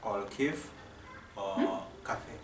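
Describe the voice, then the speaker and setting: A man speaks with a Kenyan accent against noticeable background noise. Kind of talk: casual talk to camera.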